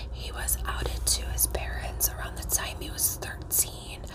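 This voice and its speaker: Through loud background noise, a soft-spoken woman speaks at a very slow pace. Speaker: storyteller. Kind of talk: casual vlog chat. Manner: soft, hushed ASMR storytelling voice. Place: home room. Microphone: phone near.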